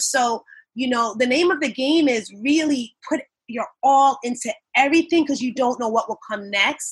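A woman with a New York accent, high-pitched with ordinary pitch variation, at a moderate pace. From Long Island, New York, of Jamaican parents. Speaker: nurse and event emcee. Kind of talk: casual interview. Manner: animated.

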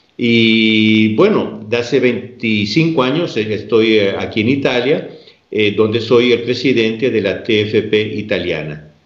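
A man at a very slow pace, with audible room echo. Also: medium pitch for a man, ordinary pitch variation. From Peru. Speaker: religious lay organization president. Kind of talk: interview on theology.

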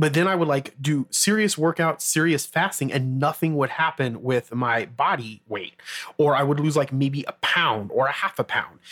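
Through noticeable background noise, a man speaks at a fairly high pitch with ordinary pitch variation and very even loudness. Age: 30s. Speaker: entrepreneur podcast host. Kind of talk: solo podcast monologue. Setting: home studio with mic and mixer. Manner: fast talker.

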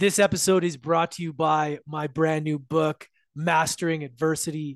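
A man speaks at a fairly high pitch with fairly even intonation, in an unremarkable speaking voice. The sound is dry and close with no echo, against a quiet background. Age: 30s. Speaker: podcast host. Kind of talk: casual interview. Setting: video call.

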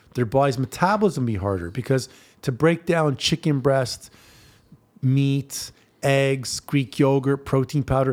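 A man with a plain, everyday voice talks fairly slowly, his pitch varying in an ordinary way. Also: medium pitch for a man. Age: 40s. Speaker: fitness trainer. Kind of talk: casual chat.

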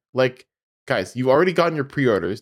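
This man's voice sits at a fairly high pitch. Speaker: podcast co-host. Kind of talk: casual chat.

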